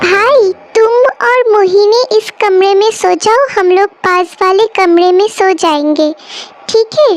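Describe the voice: A woman speaks at a fairly slow pace in a cartoonish character voice with an extremely high pitch. Her loudness stays very even.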